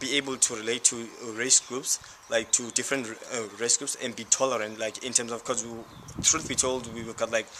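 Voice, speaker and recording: Over noticeable background noise, a man with a South African accent speaks at a fairly quick pace in a medium pitch, with monotone, flat intonation and big swings in loudness. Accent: South African Xhosa-accented English. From South Africa, Cape Town township. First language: Xhosa. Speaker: university student. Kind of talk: interview. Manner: halting.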